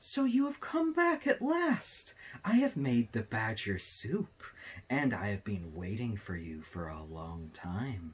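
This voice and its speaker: A man puts on a character voice, speaking fairly slowly at a medium pitch. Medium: read story. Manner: deceitful.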